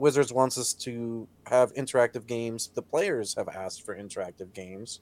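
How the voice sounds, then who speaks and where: At a moderate pace, a man with an unremarkable speaking voice talks with big swings in loudness. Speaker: podcast host. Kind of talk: casual chat.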